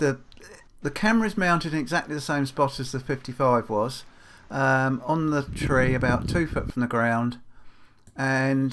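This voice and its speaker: Fairly even intonation and a fairly slow pace mark this speaker with a British accent. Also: man. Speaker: farrier and blacksmith YouTuber. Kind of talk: product review. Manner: hesitant, many fillers.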